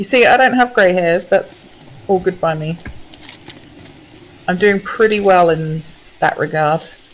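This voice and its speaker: A woman speaks at a fairly slow pace in a medium pitch with ordinary pitch variation. Long, frequent pauses break up her speech, and there is noticeable background noise. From southern England, Essex. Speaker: game streamer. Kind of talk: casual chat. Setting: live stream.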